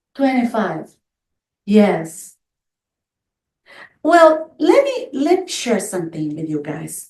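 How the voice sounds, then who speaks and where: A woman speaks at a very slow pace with long, frequent pauses and a somewhat breathy voice. Her pitch swings very widely, and her loudness rises and falls in big swings. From Brazil. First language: Portuguese. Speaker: near-death experience survivor. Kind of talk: testimony with Q&A. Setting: in-person group meeting, also on video call.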